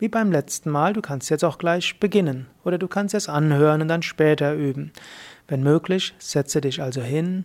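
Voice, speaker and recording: A woman's very deep, low voice in a calm, soothing tone with ordinary pitch variation, on a very clean recording with a silent background. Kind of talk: guided meditation. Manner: slow, calm and soothing, with long pauses between short instructions; gentle, unhurried, repetitive breath-paced cues.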